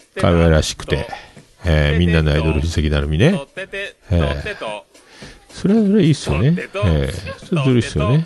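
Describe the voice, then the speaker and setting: Noticeable background noise under a man's fairly quick delivery. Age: 50s. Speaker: podcast host. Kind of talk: casual solo talk. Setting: home studio.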